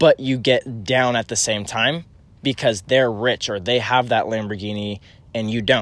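In a very clean recording with a silent background, a man speaks at a moderate pace in a normal speaking voice. His medium pitch has ordinary variation. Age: 20s. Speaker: podcast host. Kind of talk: casual chat. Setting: outdoors on a hiking trail.

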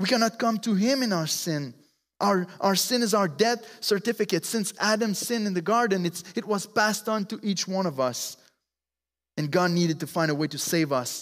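Speaking with a French accent, a man uses a high pitch, lively intonation and a moderate pace. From Quebec. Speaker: preacher. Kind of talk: sermon. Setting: church.

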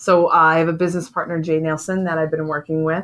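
On a very clean recording with a silent background, a woman with an unremarkable speaking voice talks in a fairly low pitch with fairly even intonation. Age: 30s. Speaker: podcast host and entrepreneur. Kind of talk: casual chat.

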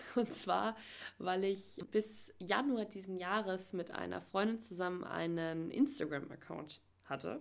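Speaking at a very slow pace, a woman uses a medium-pitched voice. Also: lively intonation. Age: 20s. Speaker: podcast host. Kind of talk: solo podcast introduction. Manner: filler-heavy (ähm, äh).

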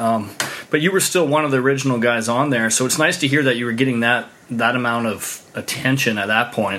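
Noticeable background noise runs under this recording. A man speaks at a medium pitch. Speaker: podcast host. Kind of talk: casual interview with sponsor reads.

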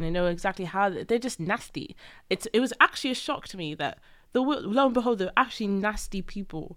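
A woman with a Welsh accent, medium pitch, lively intonation, a very fast pace and big swings in loudness, on a very clean recording with a silent background. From Wales. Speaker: friend of the host. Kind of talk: casual chat.

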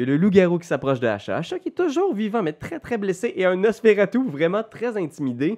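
A man with a Quebec accent, high-pitched and animated, fairly quick with hardly any pauses, very wide pitch swings, quiet background. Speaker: game master of a role-playing game. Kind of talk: role-playing game narration.

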